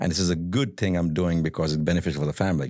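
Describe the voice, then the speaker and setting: A man's voice, very deep and low in pitch with a dark, mellow tone, comes through on a very clean recording with a silent background. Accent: Indian. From India. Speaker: real estate entrepreneur. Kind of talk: podcast interview. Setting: studio. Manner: halting, repeats words.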